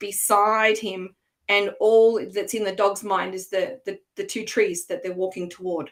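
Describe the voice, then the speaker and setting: A speaker with an Australian accent talks at a moderate pace. The intonation stays fairly even. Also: woman. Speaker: coach and former language teacher. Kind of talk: online workshop presentation. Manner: hesitant, many fillers.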